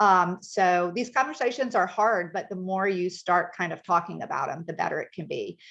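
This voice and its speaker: Against a quiet background, a woman with an American accent speaks at a medium pitch with ordinary pitch variation and hardly any pauses. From northern US. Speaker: care coordinator. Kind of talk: presentation. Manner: fast.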